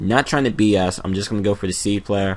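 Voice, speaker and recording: Talking at a very fast pace, a man speaks at a fairly low pitch. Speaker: gaming commentator. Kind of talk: video game battle commentary. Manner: stuttering, hesitant; casual.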